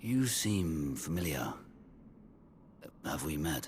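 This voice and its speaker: A man's put-on character voice, very deep and low in pitch, at a very slow pace with lively intonation over clear background noise. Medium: video game.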